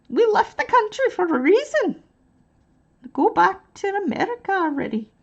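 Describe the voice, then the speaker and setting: A woman's put-on character voice in a British accent, extremely high-pitched with very wide pitch swings, a moderate pace and long, frequent pauses. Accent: British, badly done. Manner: mocking.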